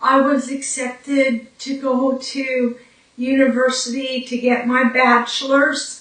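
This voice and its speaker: A woman's high voice in a Newfoundland accent, monotone and flat, at a very slow pace. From Newfoundland, Canada. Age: 40s. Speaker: brain injury survivor. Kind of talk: personal testimony. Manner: hesitant, with fillers.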